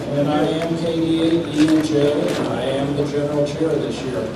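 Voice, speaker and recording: Noticeable background noise and audible room echo around a man speaking at a moderate pace and a fairly high pitch. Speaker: event chairman. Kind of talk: public address.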